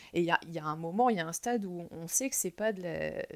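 A woman's lively, expressive voice at a moderate pace, in a very clean recording with a silent background. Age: 30s. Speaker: podcast guest sharing personal experience. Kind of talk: personal testimony interview. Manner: hesitant, frequent fillers and repetitions.

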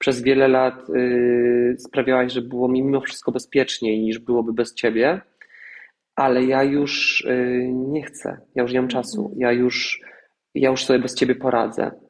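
With an unremarkable speaking voice, a man talks at a fairly slow pace and medium pitch, keeping his intonation fairly even. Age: 30s. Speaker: actor and singer. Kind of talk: casual chat.

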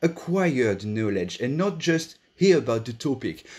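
With a French accent, a man talks at a moderate pace in a fairly high pitch that takes very wide swings. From France. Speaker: school director. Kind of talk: online panel talk. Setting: online session.

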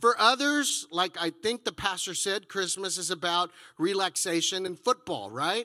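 A raised, projected voice with a bright, sharp tone, lively intonation and an American accent, on a very clean recording with a silent background. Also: man. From Texas. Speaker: pastor. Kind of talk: sermon. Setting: church.

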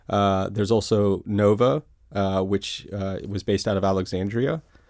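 A man with an American accent and a normal speaking voice talks at a moderate pace in a fairly low pitch on a very clean recording with a silent background. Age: 40s. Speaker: cybersecurity company founder. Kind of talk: interview.

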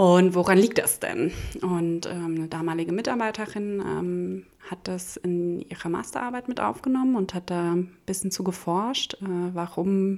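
Her tone is dark and mellow, with ordinary pitch variation. This woman speaks at a fairly slow pace. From Hesse, Germany (small village). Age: 30s. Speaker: startup accelerator program head. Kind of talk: interview. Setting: living room recording.

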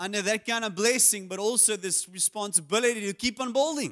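On a very clean recording with a silent background, a man speaks at a high pitch with ordinary pitch variation. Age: 50s. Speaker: pastor. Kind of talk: sermon. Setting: church.

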